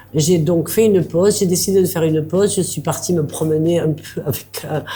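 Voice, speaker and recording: Against noticeable background noise, a woman talks at a fairly quick pace and a fairly low pitch. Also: fairly even intonation. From southern France, Aveyron. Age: 70s. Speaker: bistro owner, former social worker. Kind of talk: interview.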